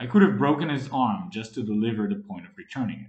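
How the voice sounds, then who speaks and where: A man puts on a gruff character voice at a medium pitch. He rattles along at a very fast pace. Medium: read story. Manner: commanding, gruff.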